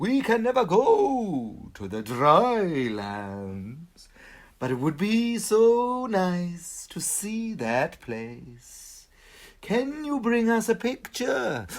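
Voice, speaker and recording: A man in a put-on character voice speaks very slowly at a high pitch, on a very clean recording with a silent background. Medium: read story. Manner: stately, slow.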